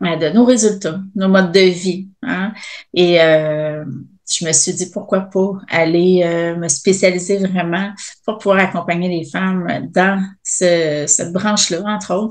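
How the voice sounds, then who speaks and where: A woman's medium-pitched voice with a Quebec accent, very slow pace and fairly even intonation. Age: 40s. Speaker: fitness coach and entrepreneur. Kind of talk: interview. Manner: hesitant, many fillers.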